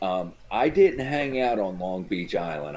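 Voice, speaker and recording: A man speaks with a New Jersey accent in a dark, mellow tone. His pace is fairly slow, and his intonation is lively. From New Jersey, Cape May County. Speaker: former MMA fighter. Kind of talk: casual chat.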